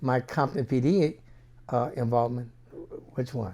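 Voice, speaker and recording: A man's dark, mellow voice at medium pitch, moderate pace and ordinary pitch variation, in a very clean recording with a silent background. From Los Angeles (Watts), moved from New Orleans at 11. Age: 70s. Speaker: retired police officer. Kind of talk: interview.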